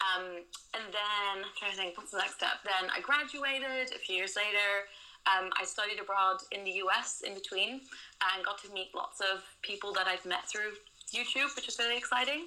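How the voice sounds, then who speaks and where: Amid noticeable background noise, a woman speaks at a moderate pace in a medium pitch with ordinary pitch variation. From Netherlands. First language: Dutch. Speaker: booktuber and social media consultant. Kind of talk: interview.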